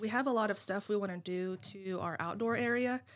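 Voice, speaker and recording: With an American accent, a woman has a normal speaking voice and ordinary pitch variation. The recording is very clean, with a silent background. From US, rural Greene County. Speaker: nursing home administrator. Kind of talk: casual interview. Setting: studio.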